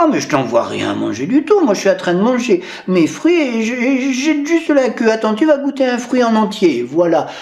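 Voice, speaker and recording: A man keeps a moderate pace while doing a put-on character voice pitched extremely high. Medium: read story.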